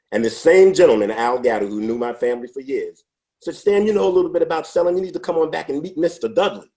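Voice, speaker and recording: A man with a New York accent, high in pitch and dark, mellow in tone, racing at a very fast pace through very wide pitch swings. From New York City, Brooklyn. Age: 60s. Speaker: former salesman. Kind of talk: interview.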